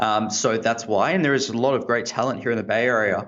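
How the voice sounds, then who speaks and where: A man talks at a fairly quick pace with an Australian accent. His pitch is medium and his intonation fairly even. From Australia, Sydney. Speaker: tech entrepreneur, former lawyer. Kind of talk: interview. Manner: hesitant, many fillers.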